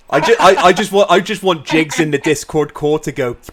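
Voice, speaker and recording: A man's fairly high voice comes through with noticeable background noise behind it. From southern England. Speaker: podcast host. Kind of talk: casual chat.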